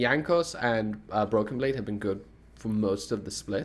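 At a moderate pace, a man speaks in a normal speaking voice of medium pitch. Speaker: esports podcast host. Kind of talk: casual banter about esports.

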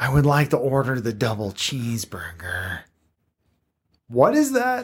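A man does a put-on character voice. It sits at a medium pitch. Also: moderate pace.

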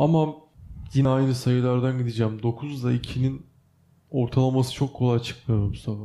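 A man's dark, mellow voice at medium pitch, monotone and flat, at a moderate pace. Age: 20s. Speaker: podcast co-host, university student. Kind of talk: casual chat.

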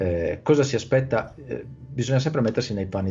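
In a normal speaking voice, a man talks at a fairly quick pace with ordinary pitch variation. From Italy. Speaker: Italian language YouTuber and teacher. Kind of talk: casual interview chat. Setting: video call.

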